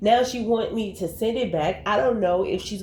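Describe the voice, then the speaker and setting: A woman talks at a moderate pace in an animated tone. Her pitch varies in an ordinary way, and there is audible room echo. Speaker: commentary youtuber. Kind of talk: casual commentary vlog.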